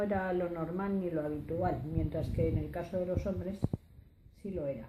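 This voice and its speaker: Dark, mellow tone from a woman at a medium pitch, with ordinary pitch variation and audible room echo. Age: 60s. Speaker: oral history interviewee. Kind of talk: testimony. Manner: halting, many hesitations.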